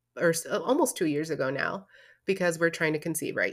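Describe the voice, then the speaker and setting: The recording is very clean, with a silent background. A woman speaks in a medium pitch. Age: 30s. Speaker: podcast host. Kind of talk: casual monologue. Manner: animated.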